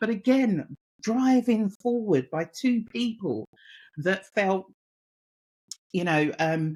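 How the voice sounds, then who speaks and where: A woman with a Cockney accent, very slow pace, long and frequent pauses, lively intonation and a medium pitch. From East London, England. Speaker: mentor and women's empowerment advocate. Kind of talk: podcast interview.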